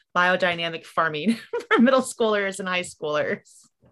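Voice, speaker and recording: Lively intonation in a bright, sharp tone, on a very clean recording with a silent background. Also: woman. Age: 30s. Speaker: writer and mother. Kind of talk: casual chat.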